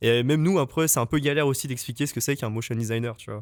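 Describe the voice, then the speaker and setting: Over a silent background in a very clean recording, a man speaks very fast. His pitch is medium with ordinary pitch variation. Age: 20s. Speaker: junior motion designer. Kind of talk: podcast interview. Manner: hesitant, many fillers.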